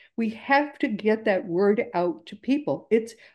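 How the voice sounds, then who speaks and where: A woman's dark, mellow voice, very slow and with very wide pitch swings. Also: quiet background. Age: 70s. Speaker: podcast host. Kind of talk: interview. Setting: video call. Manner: warm, effusive. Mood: earnest, upbeat. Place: home room. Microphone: video call.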